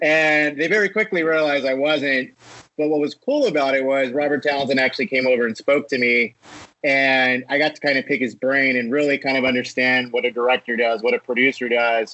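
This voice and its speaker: This man has an unremarkable speaking voice with an American accent, a medium pitch, ordinary pitch variation and very even loudness. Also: fairly quick pace. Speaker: film producer. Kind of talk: casual interview.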